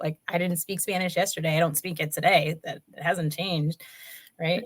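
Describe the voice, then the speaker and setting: A woman's fairly low, somewhat breathy voice with an American accent and fairly even intonation. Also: moderate pace. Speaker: panel guest. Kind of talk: casual chat.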